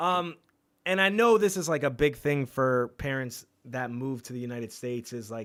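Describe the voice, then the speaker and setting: This is a very clean recording with a silent background. A man with a normal speaking voice talks at medium pitch and a moderate pace. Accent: American. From New York, Long Island. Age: 30s. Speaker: podcast host. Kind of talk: casual interview chat. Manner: casual, slangy.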